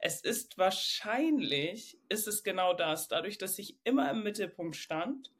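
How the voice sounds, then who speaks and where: With very wide pitch swings, a woman speaks at a very slow pace. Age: 30s. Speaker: coaching client. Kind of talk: personal coaching conversation.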